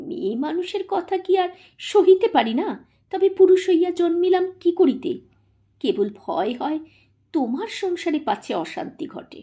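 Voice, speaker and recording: A woman uses a put-on character voice that is extremely high, strained and soft-spoken, with lively intonation. She speaks at a moderate pace against a quiet background. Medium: read story. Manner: soft, slow, restrained.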